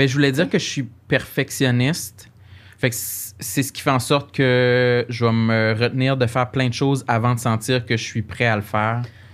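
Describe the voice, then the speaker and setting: A man talks with fairly even intonation, keeping a medium pitch and a moderate pace. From Quebec, Gaspésie. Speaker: comedian. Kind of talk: casual chat.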